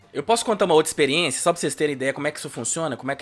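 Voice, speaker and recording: The man is heard in a very clean recording against a silent background. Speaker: law academic. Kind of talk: interview on race and law.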